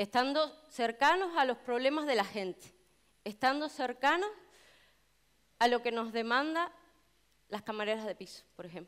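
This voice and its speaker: This woman's voice sits high, with lively intonation and big swings in loudness. She speaks at a moderate pace with long, frequent pauses against a quiet background. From Canary Islands, Tenerife; Canary Islands. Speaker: union delegate and hotel chambermaid; speaker. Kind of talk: public speech. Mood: earnest, committed. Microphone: headset.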